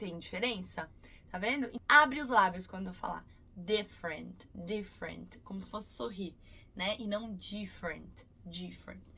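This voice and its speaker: A woman with a bright, sharp tone and vocal fry speaks at a fairly slow pace and medium pitch, with ordinary pitch variation and big swings in loudness. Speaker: English teacher. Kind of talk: tutorial.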